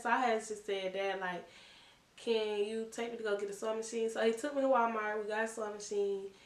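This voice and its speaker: A woman's fairly high-pitched voice at a fairly quick pace, with audible room echo. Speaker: vlogger. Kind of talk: casual Q&A vlog. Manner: soft-spoken; casual, filler-heavy.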